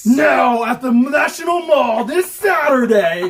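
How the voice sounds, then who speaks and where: A man shouts in a put-on character voice pitched extremely high. He speaks at a fairly slow pace. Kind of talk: radio announcer.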